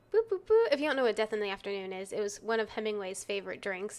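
This woman talks at a fairly quick pace and a medium pitch, with a slight Texan accent. Her tone is animated. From Texas. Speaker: true crime podcast co-host. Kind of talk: casual chat, banter. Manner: animated, laughs often.

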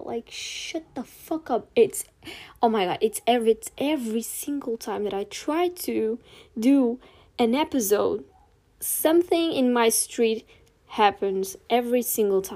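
In a Portuguese accent, a woman with a dark, mellow tone talks at a fairly slow pace with lively intonation, captured in a very clean recording over a silent background. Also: big swings in loudness. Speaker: podcast host. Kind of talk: casual chat. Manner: casual, rambling.

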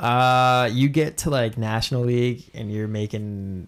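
At a fairly slow pace, a man speaks with fairly even intonation in an unremarkable speaking voice. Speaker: podcast co-host. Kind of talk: casual chat.

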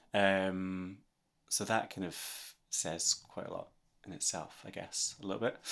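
With a Scottish accent, a man speaks in a very deep, low pitch at a fairly slow pace with fairly even intonation, on a very clean recording with a silent background. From Scotland. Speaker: singer-songwriter. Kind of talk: casual chat.

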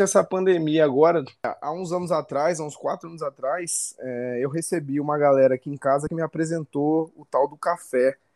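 A man at a moderate pace with hardly any pauses, big swings in loudness and ordinary pitch variation, in a dry, close sound with no echo and a quiet background. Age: 20s. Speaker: coffee specialist and CrossFit athlete. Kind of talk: casual chat.

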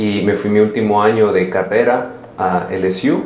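Fairly low-pitched male voice with fairly even intonation, audible room echo and noticeable background noise. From El Salvador. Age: 30s. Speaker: social entrepreneur. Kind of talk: casual interview.

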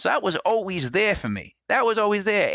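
In a raised, projected voice with a bright, sharp tone, a man talks at a moderate pace, his high pitch making very wide swings, in a dry, close, very clean recording with no echo and a silent background. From Rhode Island, New England. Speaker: podcast host. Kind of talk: casual monologue. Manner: halting, repetitive.

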